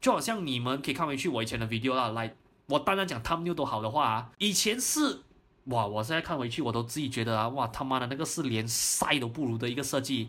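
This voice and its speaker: Talking very fast, a man uses a medium-pitched voice with a bright, sharp tone. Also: ordinary pitch variation. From Malaysia, Johor Bahru. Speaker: real estate investment podcaster. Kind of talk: unscripted solo year-end review.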